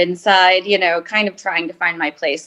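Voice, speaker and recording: A woman at medium pitch and moderate pace, with music in the background. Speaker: reality TV personality. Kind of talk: interview answer.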